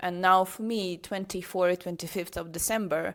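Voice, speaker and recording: A woman at a medium pitch with ordinary pitch variation, in a Ukrainian accent. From Ukraine. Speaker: international teacher, podcast co-host. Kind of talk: casual chat.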